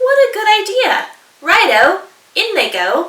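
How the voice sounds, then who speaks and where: Using a put-on character voice, a woman talks at a fairly slow pace in an extremely high, squeaky, sing-song manner. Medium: read story. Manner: gleeful, singsong.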